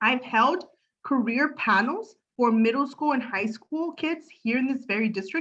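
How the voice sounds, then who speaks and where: Her voice is high for a woman, and the woman's pitch varies in an ordinary way. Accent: Spanish. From Los Angeles, San Fernando Valley. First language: Spanish. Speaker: political candidate. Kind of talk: candidate forum speech. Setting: video call. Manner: halting.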